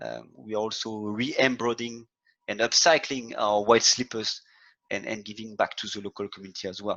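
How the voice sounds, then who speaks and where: A man speaks with a French accent at a fairly low pitch. His pace is moderate, and the background is quiet. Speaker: hotel sustainability head. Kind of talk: webinar presentation. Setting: online webinar. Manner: halting, many repetitions.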